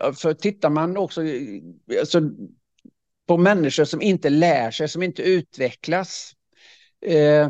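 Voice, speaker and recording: An ordinary speaking voice, this man's sits at a fairly high pitch with ordinary pitch variation, moving at a fairly slow pace in a dry, close sound with no echo against a quiet background. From Swedish west coast. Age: 60s. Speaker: leadership speaker and author. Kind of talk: casual interview conversation. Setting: video call.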